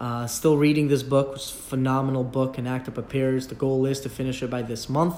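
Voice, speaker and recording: Speech comes at a fairly quick pace with hardly any pauses, against noticeable background noise. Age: 30s. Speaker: podcaster. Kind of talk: casual solo recap monologue.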